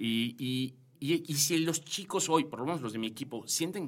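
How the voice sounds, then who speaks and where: A man's fairly high voice with a slight Yucatecan accent, ordinary pitch variation and a moderate pace. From Yucatán, Mexico. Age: 40s. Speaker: corporate director. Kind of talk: interview conversation. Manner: halting, many fillers and repetitions.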